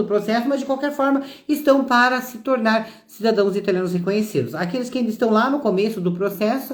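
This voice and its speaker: Audible room echo surrounds a woman whose fairly high pitch carries lively intonation. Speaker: citizenship consultant. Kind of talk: live stream talk. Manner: halting.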